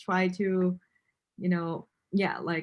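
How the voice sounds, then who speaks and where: A woman with a non-native accent and a medium pitch speaks at a fairly slow pace on a very clean recording with a silent background. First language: not English. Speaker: interviewer. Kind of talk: interview.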